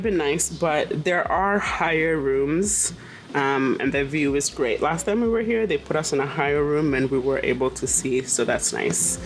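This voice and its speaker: At a fairly slow pace, a woman talks over noticeable background noise. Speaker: travel vlogger. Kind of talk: casual vlog narration. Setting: hotel room. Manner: hesitant with fillers.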